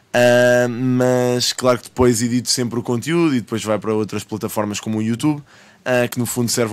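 A man speaks with a European Portuguese accent at a moderate pace, his intonation fairly even. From Portugal. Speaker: rapper and streamer; interview guest, live streamer. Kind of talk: casual chat. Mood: relaxed, friendly. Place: studio. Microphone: studio mic.

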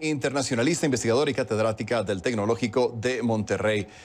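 A man's voice at a very fast pace. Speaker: news anchor. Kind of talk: news reading. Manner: formal, steady newsreader delivery. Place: studio. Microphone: lapel.

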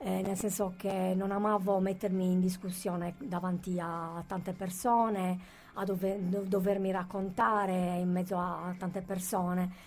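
A woman speaks at a fairly slow pace, her intonation monotone and flat. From Sardinia, Sassari; Sardinia. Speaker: author; guest. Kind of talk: radio interview, personal testimony; interview answer. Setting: radio studio. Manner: halting, many repetitions and fillers. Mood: serious, reflective. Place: studio.

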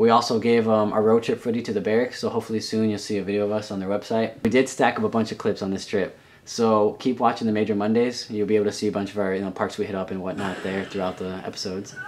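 Very fast speech from a man, fairly low in pitch, monotone and flat, with hardly any pauses. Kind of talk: casual vlog chat. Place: home room. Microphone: webcam.

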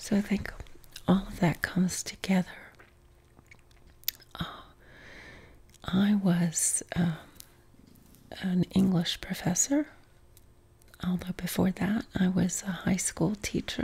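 A soft-spoken woman talks at a very slow pace in a calm tone with fairly even intonation. Long, frequent pauses break up her speech. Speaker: vlogger answering viewer questions. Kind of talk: casual Q and A chat. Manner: soft-spoken, calm quiet answer. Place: home room.

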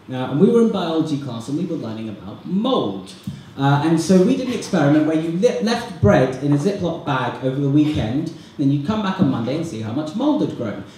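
A man with a British accent speaks in an animated tone, his pitch swinging very widely. There is audible room echo and light background noise. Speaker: student comedian and compere. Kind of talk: stand-up comedy. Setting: stage with audience. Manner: animated, rapid-fire, self-deprecating; cheeky, sarcastic, with mock-outrage tangents. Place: hall.

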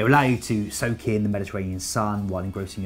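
A man speaks at a fairly low pitch while faint music plays in the background. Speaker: presenter. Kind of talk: presenter talk to camera. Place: studio. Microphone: lapel.

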